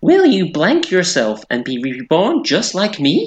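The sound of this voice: A man's put-on character voice, high in pitch, with very wide pitch swings and a fairly slow pace.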